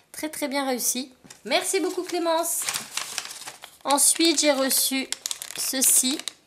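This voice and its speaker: Speaking at a high pitch with lively intonation, a woman moves at a very slow pace. Long, frequent pauses break her speech, and background noise is noticeable. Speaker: craft YouTuber. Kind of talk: casual haul video. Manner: animated.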